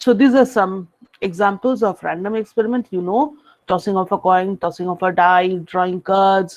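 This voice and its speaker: A woman with a normal speaking voice talks at a medium pitch and a moderate pace. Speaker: university lecturer. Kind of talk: lecture.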